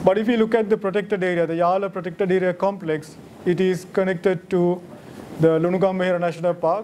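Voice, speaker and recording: This man's voice sits high in pitch and stays monotone and flat. Light background noise runs underneath. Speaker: lecturer at a monthly wildlife society talk. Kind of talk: lecture. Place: hall. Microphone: podium.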